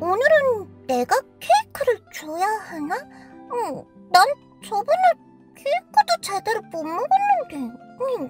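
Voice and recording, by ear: Faint music plays behind a put-on character voice that is extremely high, swings very widely in pitch, and moves at a fairly slow pace in an upbeat, playful tone.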